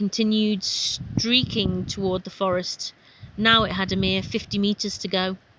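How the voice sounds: Read in a natural voice, the text carries fairly level intonation.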